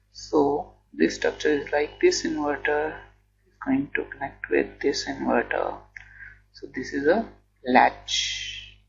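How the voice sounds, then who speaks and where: A man speaks very slowly. Behind him, music plays. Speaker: electronics engineering educator. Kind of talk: lecture explanation.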